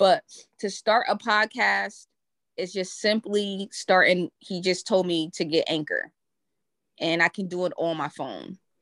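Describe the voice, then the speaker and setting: This speaker has a Brooklyn accent and fairly even intonation. The sound is dry and close with no echo, over a quiet background. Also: woman, medium pitch for a woman, fairly slow pace. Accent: New York, Brooklyn-sounding. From Connecticut. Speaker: podcaster. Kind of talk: casual chat.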